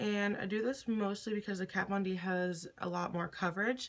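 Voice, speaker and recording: At a moderate pace, a woman talks at medium pitch over noticeable background noise. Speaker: beauty vlogger. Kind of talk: makeup tutorial talk to camera.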